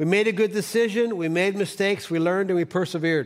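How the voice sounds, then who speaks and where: A man with an American accent speaks fairly quickly at a high pitch. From Cleveland, Ohio, US. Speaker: pastor. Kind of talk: sermon. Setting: church.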